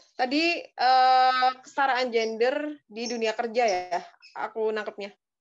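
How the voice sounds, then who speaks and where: A woman talks at a fairly slow pace. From Indonesia. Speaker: activist; talk show guest. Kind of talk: webinar talk. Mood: thoughtful, earnest. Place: home room. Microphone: video call.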